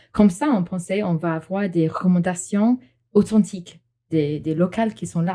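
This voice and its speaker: A woman speaks with an English accent. Her dark, mellow tone is somewhat breathy. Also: medium pitch for a woman, ordinary pitch variation, moderate pace. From England. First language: English (speaking French). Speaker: English teacher, marketing worker. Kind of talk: casual interview.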